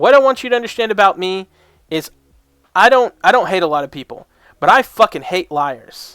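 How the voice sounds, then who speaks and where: Shouting at a fairly quick pace, the voice swings widely in pitch and loudness with a bright, sharp tone. Long pauses come often between bursts. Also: man, high pitch for a man, dry, close sound with no echo. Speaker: reaction video creator. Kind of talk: reaction commentary. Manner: loud, yelling; animated.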